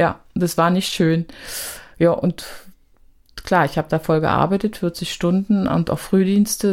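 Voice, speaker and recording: A woman speaks with a strong Berlin accent at a moderate pace. Her pitch is fairly low and her intonation fairly even. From East Berlin, Hohenschönhausen. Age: 50s. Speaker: social worker and activist. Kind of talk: interview.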